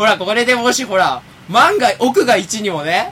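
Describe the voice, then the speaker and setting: Through noticeable background noise, a man projects a raised, high-pitched voice with very wide pitch swings. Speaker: internet radio show host. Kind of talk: casual chat. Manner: fast.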